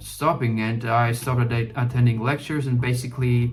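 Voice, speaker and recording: A man with a non-native accent at medium pitch and moderate pace, with music in the background and audible room echo. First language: not English. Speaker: gaming YouTuber. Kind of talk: casual talk while gaming. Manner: halting, many fillers.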